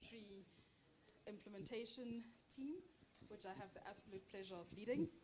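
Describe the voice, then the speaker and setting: The voice belongs to a woman and is somewhat breathy. She keeps a moderate pace. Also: medium pitch for a woman, ordinary pitch variation. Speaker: workshop facilitator. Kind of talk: workshop facilitation.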